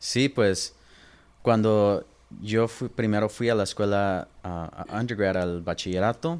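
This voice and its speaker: Over a very clean recording with a silent background, a man speaks at a very slow pace in a fairly low pitch with ordinary variation. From Los Angeles and Inland Empire, California. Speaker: lawyer. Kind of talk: interview.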